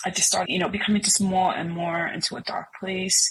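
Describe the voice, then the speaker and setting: A woman at medium pitch talks at a moderate pace in an ordinary speaking voice. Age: 50s. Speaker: singer and music producer. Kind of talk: testimony.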